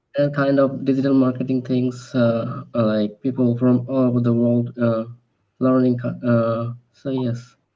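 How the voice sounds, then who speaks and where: Speaking in a Bengali accent, a man keeps a medium pitch. His pace is fairly slow and his intonation monotone and flat. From Bangladesh. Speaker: English learner. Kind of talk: casual chat. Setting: video call. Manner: halting.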